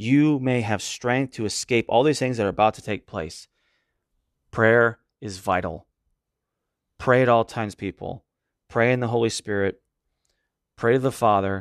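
Over a quiet background, a man speaks at a medium pitch with a warm tone. His pace is moderate, with ordinary pitch variation and long, frequent pauses. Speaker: podcast host and preacher. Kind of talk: sermon-style Bible study ending in a closing prayer. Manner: earnest, reverent, fervent; measured, warm and pastoral.

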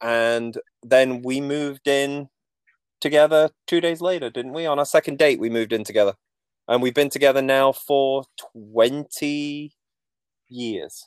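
A man's fairly high voice in a Mancunian accent, with fairly even intonation, a fairly slow pace, long, frequent pauses, and a dry, close sound with no echo. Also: very clean recording, silent background. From Manchester, England. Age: 40s. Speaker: graphic designer and bus-dwelling traveler. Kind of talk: casual interview conversation.

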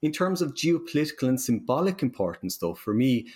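The speaker talks at a fairly quick pace in an Irish accent, with very wide pitch swings. It is a very clean recording with a silent background. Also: man. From Ireland. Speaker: university professor. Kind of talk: interview.

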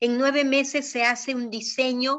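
This is a woman speaking. Her pitch is high. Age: 60s. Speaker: traditional Chinese medicine doctor. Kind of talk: interview.

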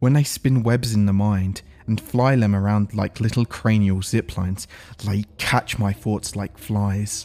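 A man with a fairly low pitch speaks in a dramatic tone. Music plays in the background. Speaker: SCP narrator. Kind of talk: ghost story telling, eerie first-person narration of a tormented host; scripted narration with casual chat intro and outro. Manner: pleading, obsessively repetitive, dramatic; casual, chatty.

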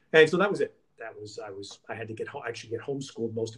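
Speaking very fast with an American accent, a man sounds somewhat breathy and shows ordinary pitch variation. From New York City. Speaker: sports broadcaster. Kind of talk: interview.

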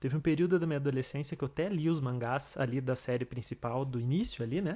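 A man with a plain, everyday voice talks at a fairly quick pace, medium in pitch, with fairly even intonation. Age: 30s. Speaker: podcast host. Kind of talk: casual monologue.

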